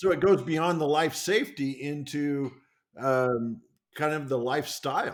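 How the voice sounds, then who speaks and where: A man speaks in an ordinary speaking voice, fairly high-pitched, at a fairly slow pace with ordinary pitch variation. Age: 60s. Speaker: podcast host. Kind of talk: podcast interview.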